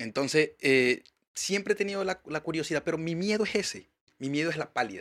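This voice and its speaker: Recorded very cleanly against a silent background, a man talks at a fairly quick pace with lively intonation. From Venezuela, Maracaibo. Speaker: podcast host. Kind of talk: casual chat. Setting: studio.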